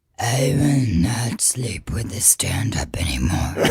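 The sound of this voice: A raspy, put-on character voice from a man, medium in pitch and delivered at a fairly slow pace.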